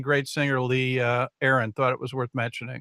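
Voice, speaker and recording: A man talks very fast with an American accent, his pitch fairly high and his tone bright and sharp. The sound is dry and close with no echo, and the recording is very clean over a silent background. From Chicago. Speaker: show host. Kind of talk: interview. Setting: live stream.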